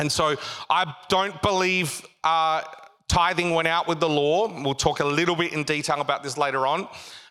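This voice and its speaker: With an Australian accent, a man speaks at a moderate pace in a fairly high voice, his tone bright, sharp and animated. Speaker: pastor. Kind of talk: sermon, preached live to a congregation with call-and-response and jokes. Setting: church with live congregation. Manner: animated, humorous, pausing to quip and prompt the crowd.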